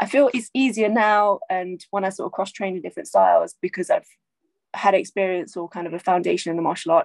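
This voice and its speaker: In an unremarkable speaking voice, a woman talks at a fairly quick pace with medium pitch. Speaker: martial arts instructor and actor. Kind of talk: casual chat.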